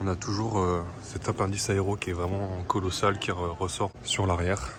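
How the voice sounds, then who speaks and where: At a moderate pace, a man with a very deep, low pitch talks with fairly even intonation over noticeable background noise. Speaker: car vlogger. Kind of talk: casual walkaround video commentary. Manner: hesitant, many fillers.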